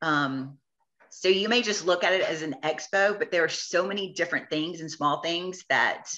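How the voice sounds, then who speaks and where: The voice has an American accent and a bright, sharp tone. Its pitch varies an ordinary amount. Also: woman, fairly low pitch for a woman. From US South, Georgia. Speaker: t-shirt shop owner. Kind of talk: interview conversation. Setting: podcast. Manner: fast; animated.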